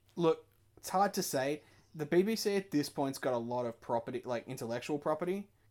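Using a normal speaking voice, a man talks at a fairly quick pace with lively intonation and fairly high pitch. The recording is very clean, with a silent background. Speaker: podcast co-host. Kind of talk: casual banter podcast chat. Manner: joking, interrupts often.

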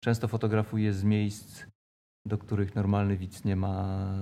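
In a monotone, flat delivery, a man with a fairly low pitch and a dark, mellow tone speaks at a moderate pace. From Poland, Koszalin (Pomerania coast). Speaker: theatre photographer and photojournalist. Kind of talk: casual interview. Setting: café. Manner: halting, with repetitions.

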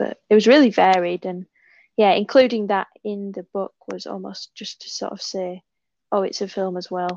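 A woman with a West Yorkshire accent speaks at a moderate pace and medium pitch, her intonation fairly even. The sound is dry and close with no echo, over a quiet background. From northern England, West Yorkshire. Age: 20s. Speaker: author and visual artist. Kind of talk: casual interview.

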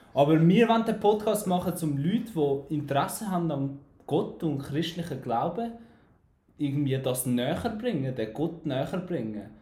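A man with an Albanian accent speaks fairly slowly at a fairly high pitch, his tone dark and mellow and his intonation lively, with audible room echo around him. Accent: Albanian accent in Swiss German. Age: 20s. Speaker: podcast host, civil engineering draftsman. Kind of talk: casual chat.

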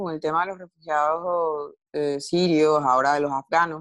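Speaking at a moderate pace, a woman with a very deep, low pitch keeps a fairly even intonation in a dry, close sound with no echo. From Venezuela. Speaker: journalist and novelist. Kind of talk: interview conversation.

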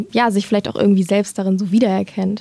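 This woman's pitch is medium. She is the one talking. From Germany, Lower Rhine (Dinslaken). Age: 20s. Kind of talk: interview.

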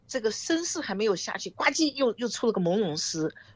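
Her pitch swings very widely as she talks. The woman keeps a moderate pace. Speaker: film director and producer. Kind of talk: interview.

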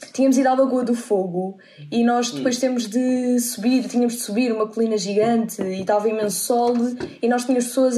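Amid noticeable background noise and audible room echo, a woman speaks fairly quickly in a fairly high voice with fairly even intonation. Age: 20s. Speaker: podcast guest. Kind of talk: casual chat.

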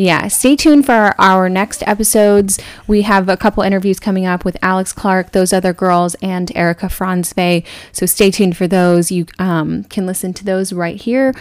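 Recorded very cleanly against a silent background, a woman with an American accent has an ordinary speaking voice at a medium pitch. She talks at a moderate pace with fairly even intonation. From Texas. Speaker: podcast co-host. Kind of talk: casual chat.

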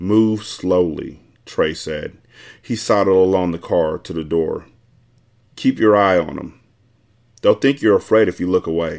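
A man speaks at a fairly slow pace in a relaxed tone, his very deep, low voice showing ordinary pitch variation and broken by long, frequent pauses, on a very clean recording with a silent background. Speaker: podcast host reading novel aloud. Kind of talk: audiobook-style reading aloud of a novel chapter, with casual profane asides. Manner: irreverent, joking, profane banter in the intro, relaxed and conversational.

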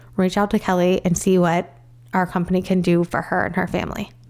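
A woman speaks with an American accent at a moderate pace. Her pitch is fairly low, and the recording is very clean with a silent background. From US Midwest, northern Illinois. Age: 40s. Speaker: cancer survivor. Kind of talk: interview.

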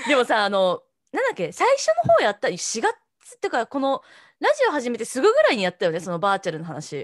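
Over a quiet background, a woman speaks at a very fast pace in a dry, close sound with no echo. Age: 30s. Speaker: podcast co-host. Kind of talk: casual chat.

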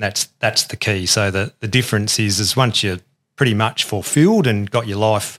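An ordinary speaking voice at a moderate pace on a very clean recording with a silent background. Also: man. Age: 50s. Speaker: engineering consultant. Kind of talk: casual interview chat.

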